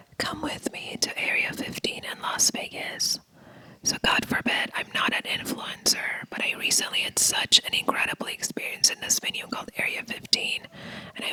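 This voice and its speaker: Noticeable background noise runs behind a whispering voice that keeps a moderate pace. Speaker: vlogger. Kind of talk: casual vlog narration.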